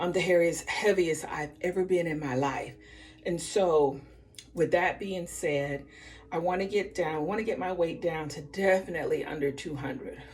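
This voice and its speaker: A woman with a fairly low voice speaks at a moderate pace with ordinary pitch variation, and music plays in the background. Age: 60s. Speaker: vlogger sharing weight loss journey. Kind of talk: casual vlog and tutorial. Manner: casual, conversational with fillers.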